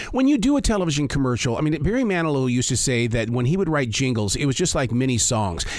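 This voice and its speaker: Talking at a very fast pace with hardly any pauses, a man with a fairly high pitch keeps his loudness very even and his intonation lively over noticeable background noise. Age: 60s. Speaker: entertainment interviewer. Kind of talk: interview. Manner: halting.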